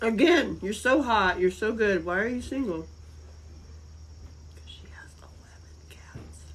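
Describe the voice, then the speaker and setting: With an American accent and a fairly slow pace, the speaker pauses long and often, the loudness swings widely, and room echo is audible. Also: woman. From North Carolina, US South (Asheville). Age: 50s. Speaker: live-stream host. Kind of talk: casual chat. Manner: animated.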